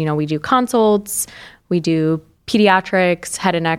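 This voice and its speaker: A woman with an American accent and an unremarkable speaking voice, fairly low in pitch at a moderate pace, in a very clean recording with a silent background. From upstate New York. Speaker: surgical resident. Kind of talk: casual interview.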